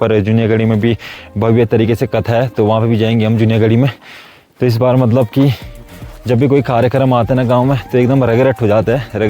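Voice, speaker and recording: A man's monotone, flat delivery at very even loudness, with music in the background. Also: medium pitch for a man. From Uttarakhand hills, Garhwal-Kumaon border. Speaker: village vlogger. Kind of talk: casual talk to camera.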